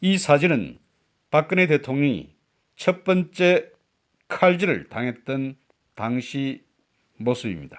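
Pausing long and often, a man speaks at a very slow pace with a fairly high pitch and lively intonation. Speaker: political commentary YouTuber, veteran broadcaster. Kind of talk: scripted political commentary. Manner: formal.

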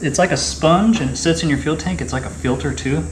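Background noise is noticeable here. Through it, a man speaks at a moderate pace. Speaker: car repair YouTuber. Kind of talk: casual tutorial. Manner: casual. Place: garage.

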